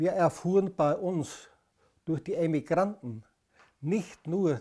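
Against a quiet background, a man speaks at a high pitch. His pace is very slow and his pitch varies in an ordinary way. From German-speaking Bohemia, Czechoslovakia (Eger/Cheb). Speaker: anti-fascist resistance veteran. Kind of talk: testimony.

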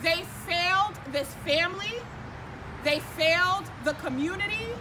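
A woman speaks at a fairly slow pace in a raised, projected voice. Noticeable background noise sits behind her. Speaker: activist spokesperson. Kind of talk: press conference statement. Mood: earnest, critical. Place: street. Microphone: podium.

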